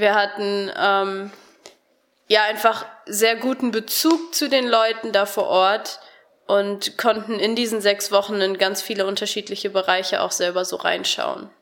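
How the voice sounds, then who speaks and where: A woman at a fairly slow pace, with a plain, everyday voice, medium pitch and ordinary pitch variation. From Germany (Harsewinkel, Gütersloh district). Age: 20s. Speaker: Bible school student. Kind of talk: radio interview.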